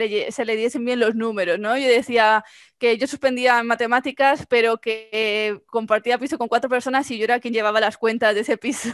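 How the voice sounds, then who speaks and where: A woman speaks at a fairly quick pace in a high voice, her intonation fairly even. The sound is dry with no echo, over a quiet background. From Spain, Mallorca; Spain. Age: 20s. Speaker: marketing agency founder; podcast guest. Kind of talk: interview. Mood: cheerful, laughing storytelling. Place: home room. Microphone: headset.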